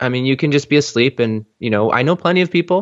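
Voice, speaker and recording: In an unremarkable speaking voice, a man talks at a fairly quick pace with ordinary pitch variation. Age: 30s. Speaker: life and business coach. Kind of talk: podcast interview conversation.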